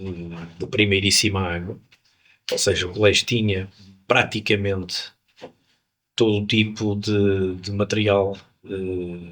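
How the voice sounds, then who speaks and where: A man's fairly low voice, monotone and flat, at a fairly slow pace with long, frequent pauses. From Porto, northern Portugal (born in Angola). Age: 60s. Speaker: musician. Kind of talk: interview. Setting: jazz club.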